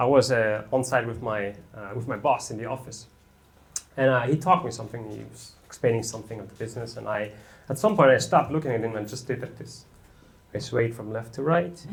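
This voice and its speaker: At a fairly quick pace, a man with a medium pitch and ordinary pitch variation talks with big swings in loudness and audible room echo. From Germany. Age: 30s. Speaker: amateur stand-up comedian. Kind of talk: stand-up. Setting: stage with audience.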